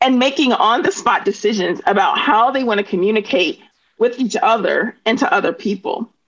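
A woman's high voice at a fairly quick pace, with very wide pitch swings. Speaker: linguistics and education professor, author. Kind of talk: interview discussion.

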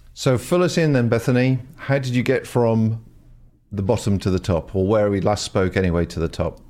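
A man's dark, mellow voice at medium pitch, fairly quick in pace, with lively intonation. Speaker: podcast interviewer. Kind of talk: interview.

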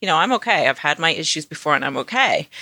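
A woman with a British accent speaks in a very deep, low register with a bright, sharp tone and very wide pitch swings, the sound dry and close with no echo. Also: very clean recording, silent background. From England. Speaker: podcast co-host. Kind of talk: casual chat.

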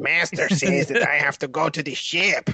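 Using a put-on character voice, a man speaks in a fairly high pitch. His pace is moderate. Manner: servile.

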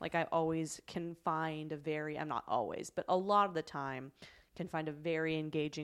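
This is an unremarkable speaking voice. It belongs to a woman. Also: very clean recording, silent background. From Canada. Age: 30s. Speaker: comedian. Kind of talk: casual chat.

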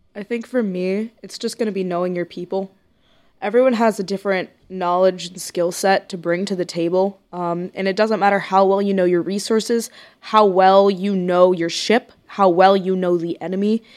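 A woman talks at a moderate pace with an American accent. Her intonation is monotone and flat. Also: medium pitch for a woman, very clean recording, silent background. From Corpus Christi, Texas. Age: young. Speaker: naval academy student. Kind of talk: casual chat.

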